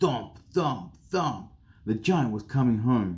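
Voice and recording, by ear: The text is read aloud in a natural voice, and the intonation is lively.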